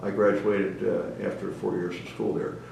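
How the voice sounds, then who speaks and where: With an American accent, a man talks at a fairly quick pace amid noticeable background noise and audible room echo. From US Northeast (New Jersey / Philadelphia area). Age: 80s+. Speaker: retired navy officer, war veteran. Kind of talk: oral history interview. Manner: halting, many fillers.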